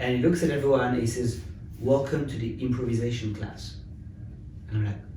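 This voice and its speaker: At a moderate pace, a man with a French accent speaks at a medium pitch with ordinary pitch variation, amid audible room echo. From France, Paris. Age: 30s. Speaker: tech company founder. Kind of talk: interview.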